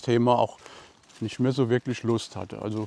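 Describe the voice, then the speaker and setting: A man speaks in a relaxed tone. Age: 60s. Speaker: painting YouTuber. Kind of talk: casual walking vlog talk. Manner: relaxed, casual.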